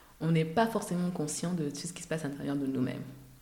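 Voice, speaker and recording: A woman with an Ivorian accent at a very fast pace, ordinary pitch variation and audible room echo. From Côte d'Ivoire, Abidjan. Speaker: cosmetics entrepreneur. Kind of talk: interview.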